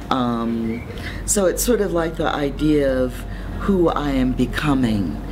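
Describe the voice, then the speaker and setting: Over music in the background, a woman with a very deep, low pitch speaks in a calm tone with lively intonation. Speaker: poet. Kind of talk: interview answer. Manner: calm, reflective.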